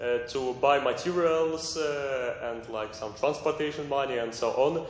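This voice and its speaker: A man with a non-native accent and a fairly high pitch speaks at a fairly slow pace. Noticeable background noise and audible room echo surround him. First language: not English. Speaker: artist. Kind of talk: group discussion presentation. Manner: halting.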